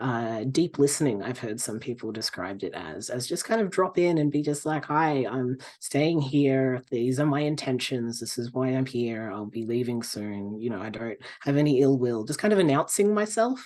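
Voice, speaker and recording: A man with an Australian accent speaks with lively intonation. He leaves hardly any pauses. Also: medium pitch for a man, moderate pace, quiet background. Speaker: pagan practitioner and author. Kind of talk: podcast interview. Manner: halting, many fillers.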